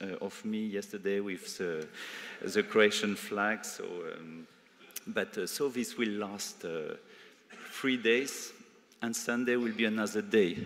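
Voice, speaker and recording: His intonation is fairly even. The man delivers his words at a fairly slow pace. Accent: French. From France. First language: French. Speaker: EU civil servant. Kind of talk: conference speech. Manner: halting, many fillers.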